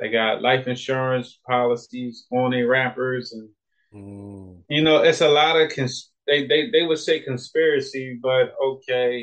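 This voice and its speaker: A man with a normal speaking voice, medium pitch, fairly even intonation, big swings in loudness and a fairly slow pace. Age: 30s. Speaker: personal trainer. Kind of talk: casual chat.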